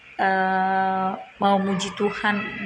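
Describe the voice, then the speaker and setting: Speaking at a medium pitch, a woman is heard with audible room echo and noticeable background noise. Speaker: student. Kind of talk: spoken assignment video. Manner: halting.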